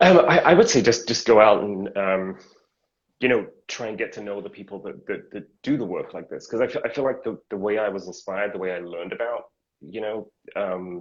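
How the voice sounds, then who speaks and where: This man talks at a fairly quick pace, and his loudness swings widely. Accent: American. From UK. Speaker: choreographer and dance educator. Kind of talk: interview.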